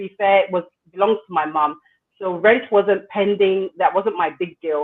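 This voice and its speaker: A British accent at a moderate pace. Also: woman. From England (London). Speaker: entrepreneur. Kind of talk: interview.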